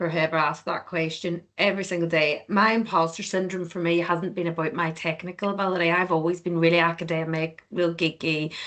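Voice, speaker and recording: A woman with an Irish accent, fairly low in pitch, flat and monotone, at a fairly quick pace with hardly any pauses. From Ireland. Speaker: finance executive. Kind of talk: panel discussion. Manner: fast.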